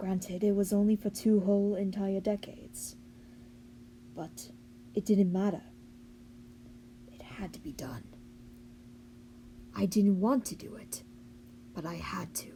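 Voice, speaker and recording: Raspy put-on character voice at a moderate pace, with long, frequent pauses. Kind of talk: character monologue. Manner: haughty, boastful.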